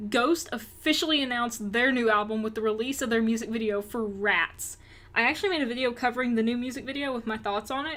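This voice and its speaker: Upbeat, bright and sharp, a woman with a Southern US accent talks very fast in a fairly high pitch with ordinary pitch variation. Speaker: rock music news youtuber. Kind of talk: news roundup vlog. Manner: upbeat, casual.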